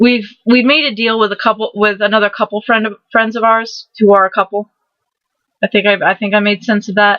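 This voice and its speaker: Her pace fairly quick and her pitch fairly high, a woman speaks with monotone, flat intonation. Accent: Southern US. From Maryland, St. Mary's County. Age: 20s. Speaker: vlogger. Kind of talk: casual vlog monologue. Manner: halting, repetitive.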